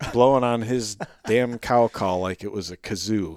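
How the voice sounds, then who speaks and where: Here a man speaks in a plain, everyday voice with a medium pitch and ordinary pitch variation. His pace is moderate, and the recording is very clean with a silent background. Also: dry, close sound with no echo. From upstate New York. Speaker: wildlife biologist. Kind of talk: casual interview chat.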